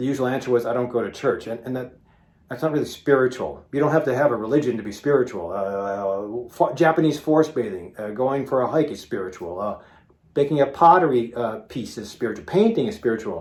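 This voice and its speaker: Using lively intonation, a man speaks in a plain, everyday voice at medium pitch. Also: fairly quick pace. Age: 50s. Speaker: physician. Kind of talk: casual video talk to viewers. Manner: conversational with frequent fillers.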